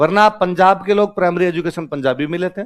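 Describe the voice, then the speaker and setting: This man talks at a moderate pace in a Rajasthani accent, his pitch high for a man. His tone is animated. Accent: Rajasthani village tinge in his Hindi. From Rajasthan, India (Marwari-speaking). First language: Marwari (Rajasthani) (speaking Hindi). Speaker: exam coaching teacher. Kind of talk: classroom lecture.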